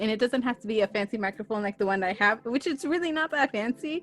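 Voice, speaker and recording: A woman's fairly high voice with an American accent, dry and close with no echo, over noticeable background noise. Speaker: podcaster. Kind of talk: interview. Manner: casual, filler words like and dude. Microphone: cheap USB microphone with headphones.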